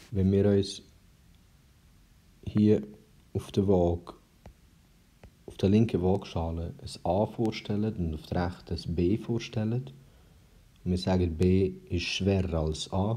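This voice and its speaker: At a very slow pace with long, frequent pauses, a man with a Swiss accent speaks in a very deep, low pitch and a dark, mellow tone, using ordinary pitch variation. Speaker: math tutor. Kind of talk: math tutorial explanation.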